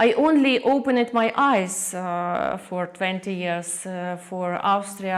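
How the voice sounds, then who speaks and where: A woman's medium-pitched voice with a Ukrainian accent, at a fairly slow pace. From Ukraine, Kyiv; born in Soviet Far East. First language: Ukrainian or Russian. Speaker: artist. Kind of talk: interview. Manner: halting, many fillers.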